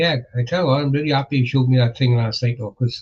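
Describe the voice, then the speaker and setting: Monotone, flat intonation marks this somewhat breathy voice. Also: man. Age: 60s. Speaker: multiboxing gamer streamer. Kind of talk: casual chat. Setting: live stream. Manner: halting.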